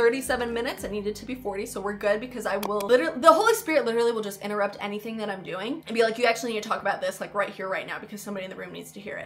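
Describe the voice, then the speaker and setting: A woman with an American accent talks very fast with hardly any pauses, her fairly high pitch paired with big swings in loudness and noticeable background noise behind her. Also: ordinary pitch variation. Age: 20s. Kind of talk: casual vlog talk to camera. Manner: enthusiastic, chatty.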